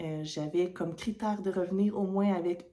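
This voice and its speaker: A woman with a Quebec accent speaks at a medium pitch. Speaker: knitting podcaster. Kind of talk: casual vlog talk to camera. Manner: hesitant, many fillers.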